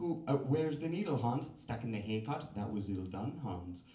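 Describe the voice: Lively intonation over a plain read-aloud text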